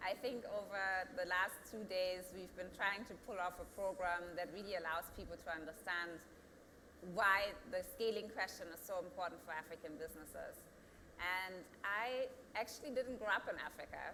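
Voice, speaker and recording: A woman speaks with a German accent at a moderate pace. Her pitch sits in the middle range, with ordinary variation. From Germany. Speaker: company founder and CEO. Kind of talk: panel discussion. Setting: studio.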